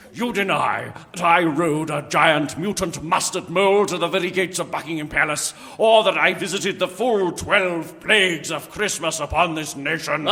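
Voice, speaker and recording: Using a put-on character voice, a man speaks at a moderate pace with a high pitch and fairly even intonation. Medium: audio drama. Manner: grandiose, gloating.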